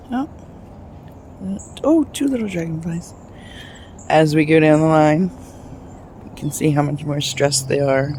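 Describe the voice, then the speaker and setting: At a moderate pace, the quiet voice moves along with long, frequent pauses. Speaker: home gardener vlogger. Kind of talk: casual video walkthrough. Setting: outdoors in a garden. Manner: speaking quietly.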